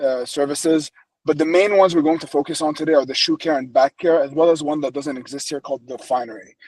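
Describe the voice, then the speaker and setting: The speech moves at a very fast pace with fairly even intonation, the sound dry and close with no echo. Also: man. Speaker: company co-founder and operations executive. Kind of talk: webinar presentation. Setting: online webinar with screen sharing.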